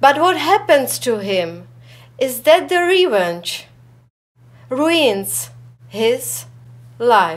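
Speaking very slowly with long, frequent pauses, a woman uses a high voice that swings very widely in pitch. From Czechoslovakia. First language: Czech. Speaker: writer. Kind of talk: self-introduction. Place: studio.

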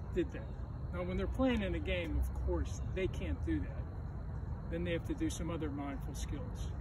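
A man at a moderate pace with ordinary pitch variation, the sound dry with no echo, and loud background noise. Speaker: gym teacher. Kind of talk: tutorial. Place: open country. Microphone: camera far.

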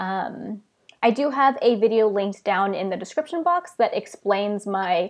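A woman is speaking at a moderate pace. Behind her, the background is quiet. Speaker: book vlogger. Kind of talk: casual live stream chat. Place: home room. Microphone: earbuds.

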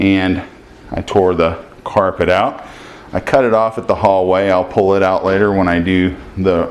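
Here a man speaks in a very deep, low voice. His pace is fairly slow. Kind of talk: casual vlog chat. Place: home room. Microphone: phone near.

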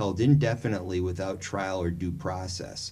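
A somewhat breathy male voice at a moderate pace. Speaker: political candidate and college professor. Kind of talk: interview. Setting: studio.

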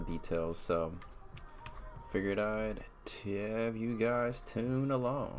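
This man's voice sits fairly low in pitch. Noticeable background noise runs behind him. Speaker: artist livestreamer. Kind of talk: casual livestream narration. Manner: casual.

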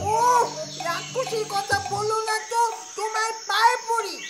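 This is a put-on character voice with a whiny tone, and the whole delivery sounds whiny. Noticeable background noise runs underneath. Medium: puppet show. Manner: panicky, whiny.

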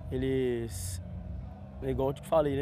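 A man talks at a fairly slow pace. The sound is dry with no echo, with noticeable background noise. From Minas Gerais, Brazil. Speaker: church sports ministry member; interviewee. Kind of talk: on-site interview; interview answer. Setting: outdoors on a football pitch. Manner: halting, repeats words. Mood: calm, sincere. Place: open country. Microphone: lapel.

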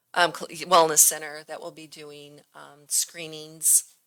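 Her pitch is very deep and low for a woman. She talks at a fairly slow pace in a monotone, flat intonation. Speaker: library director giving report. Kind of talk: public meeting report. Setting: city council chambers meeting. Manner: many fillers and restarts.

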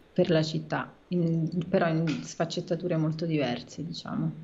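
A woman speaks in a fairly low, somewhat breathy voice with monotone, flat intonation. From Rome, Italy; Italy. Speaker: writer and screenwriter; guest. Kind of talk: casual interview chat. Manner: halting, many fillers and repetitions. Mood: relaxed, smiling. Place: home room. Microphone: video call.

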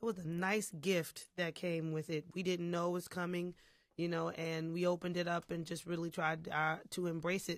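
Heard over a quiet background in a dry sound with no echo, the speaker has an American accent and talks at a moderate pace. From Philadelphia. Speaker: singer. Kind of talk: interview. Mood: relaxed, reflective. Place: studio. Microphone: studio mic.

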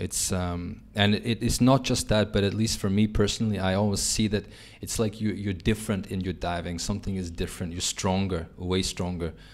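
With a fairly low voice, a man talks at a fairly quick pace and keeps his intonation fairly even. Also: hardly any pauses. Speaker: podcast host. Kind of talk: interview. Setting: in person. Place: cafe. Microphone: studio mic.

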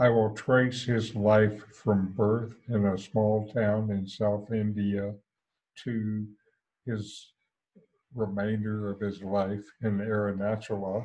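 A man's monotone, flat intonation over a quiet background. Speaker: satsang host. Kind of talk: spiritual talk introduction. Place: home room. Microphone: headset.

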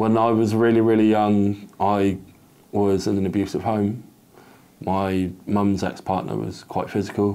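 A fairly low, dark and mellow male voice, fairly slow and monotone with flat intonation. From Torquay, Devon, England; England. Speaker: survivor sharing life story; interviewee. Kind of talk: testimony. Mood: reflective, earnest. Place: home room. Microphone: lapel.

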